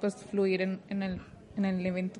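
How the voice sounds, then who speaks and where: This is a woman with an ordinary speaking voice at medium pitch. Her pace is moderate. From Mexico, Torreón, Coahuila. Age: 20s. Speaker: biomedical engineering student and robotics mentor. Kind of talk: casual interview. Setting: office cafeteria, handheld mic.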